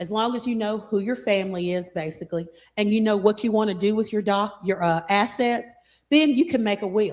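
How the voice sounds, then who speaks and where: At a medium pitch and a fairly quick pace, a woman speaks with ordinary pitch variation on a very clean recording with a silent background. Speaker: estate planning lawyer. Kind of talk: seminar talk. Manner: fast.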